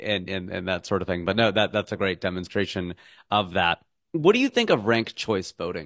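An ordinary speaking voice moves at a fairly quick pace. The sound is dry and close with no echo. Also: man, fairly low pitch for a man, ordinary pitch variation. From United States. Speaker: podcast host. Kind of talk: casual interview conversation.

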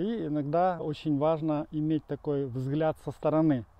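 This man has a plain, everyday voice. His pitch is fairly high and his intonation fairly even. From Ukraine, Dnipro. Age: 40s. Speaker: life coach. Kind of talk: channel trailer monologue. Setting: outdoors on a run.

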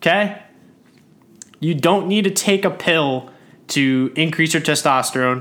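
A man at a fairly high pitch for a man, with ordinary pitch variation, very even loudness and long, frequent pauses. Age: 20s. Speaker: fitness podcast host. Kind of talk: solo podcast monologue. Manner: casual, somewhat halting.

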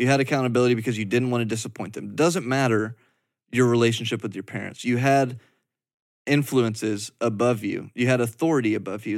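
Recorded very cleanly with a silent background, a man in an ordinary speaking voice talks at a fairly quick pace with medium pitch and ordinary pitch variation. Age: 20s. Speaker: podcast co-host. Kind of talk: casual chat. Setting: studio.

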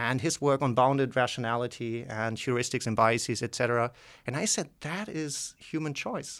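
With a German accent, a man of medium pitch talks at a moderate pace with ordinary pitch variation, on a very clean recording with a silent background. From southwestern Germany, near Basel. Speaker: economics professor. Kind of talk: interview. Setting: studio.

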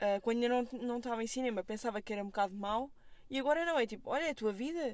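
Lively intonation and a moderate pace in a woman's high voice. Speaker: film student. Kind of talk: casual chat. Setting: in a car.

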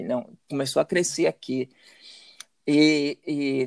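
A man speaks at a fairly high pitch, the sound dry and close with no echo. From Salvador, Bahia, Brazil. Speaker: businessman. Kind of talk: interview. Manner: halting, many repetitions.

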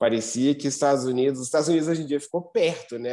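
Against a quiet background, a man speaks with a dark, mellow tone and a fairly high pitch. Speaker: motocross racer and team manager. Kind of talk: casual interview.

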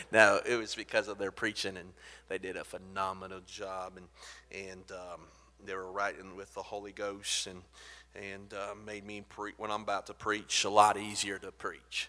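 In a very clean recording with a silent background, a man speaks at a moderate pace with a fairly low pitch, a bright, sharp tone, monotone, flat intonation, and big swings in loudness. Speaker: guest preacher. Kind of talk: sermon. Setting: church.

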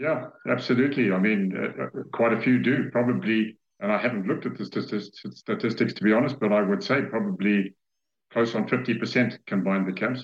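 A man speaks at a moderate pace with a medium pitch, vocal fry and ordinary pitch variation. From Zambia. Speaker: safari guide and camp owner. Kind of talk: interview. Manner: halting.

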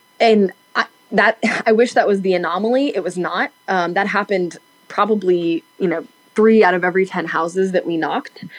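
A woman with an East Tennessee accent talks fairly quickly at medium pitch with ordinary pitch variation, against noticeable background noise. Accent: US Southern (East Tennessee). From Tennessee, Knoxville. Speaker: political organizer. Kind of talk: casual interview chat. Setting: remote call.

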